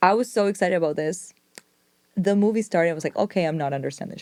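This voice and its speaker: With a Spanish accent, a woman speaks in an animated tone at a fairly low pitch. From Argentina. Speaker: film journalist. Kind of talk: casual chat.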